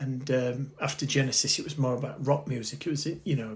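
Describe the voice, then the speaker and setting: A somewhat breathy man. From northern England, Bradford. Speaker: interviewee recalling punk youth. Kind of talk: casual interview, reminiscing. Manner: hesitant, many fillers.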